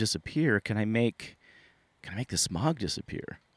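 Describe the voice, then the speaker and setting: Lively intonation at a moderate pace in an American accent, very cleanly recorded over a silent background. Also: man. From Sunnyvale, California, US. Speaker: storyteller recounting personal paranormal experiences. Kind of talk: first-person storytelling monologue. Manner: halting, many repetitions and fillers.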